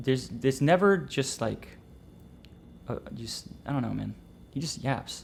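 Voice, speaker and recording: With vocal fry, a man speaks at a medium pitch. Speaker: trading educator streamer. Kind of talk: casual live stream chat. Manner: fast.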